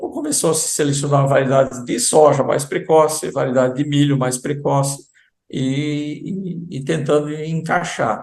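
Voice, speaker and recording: Fairly high in pitch, a man speaks with fairly even intonation. There is a somewhat breathy quality to his voice. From southern Brazil, German-speaking community. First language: German (speaking Portuguese). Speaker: agricultural sales representative. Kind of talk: interview.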